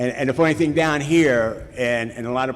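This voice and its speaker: This man has a plain, everyday voice at a medium pitch. He keeps a moderate pace and a fairly even intonation. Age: 60s. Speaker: recovery speaker at a Cocaine Anonymous event. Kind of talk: personal testimony talk. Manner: casual storytelling with repetitions.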